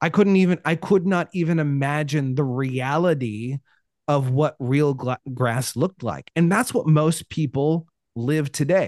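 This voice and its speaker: Against a quiet background, a man with a West Coast US accent talks at a fairly slow pace and fairly high pitch, with ordinary pitch variation and a dry, close sound with no echo. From Oregon, US Pacific Northwest. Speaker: life coach and speaker. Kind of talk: casual interview chat. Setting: remote call.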